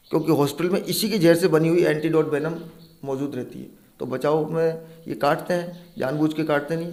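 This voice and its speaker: A man speaks at a moderate pace with a fairly high pitch and fairly even intonation, and audible room echo can be heard. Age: 40s. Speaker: snake catcher. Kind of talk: interview.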